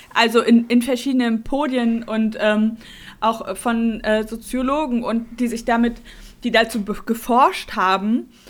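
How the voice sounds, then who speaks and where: The pitch is fairly high. It belongs to a woman. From Mecklenburg-Vorpommern. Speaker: podcast co-host. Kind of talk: casual chat.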